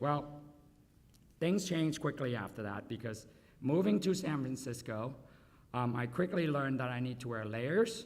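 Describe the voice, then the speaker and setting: A man talks at a moderate pace with very wide pitch swings. The recording carries audible room echo and noticeable background noise. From Vietnam. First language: Vietnamese and Chinese dialects. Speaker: food company founder and CEO. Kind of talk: award acceptance speech. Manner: conversational, audience-addressing.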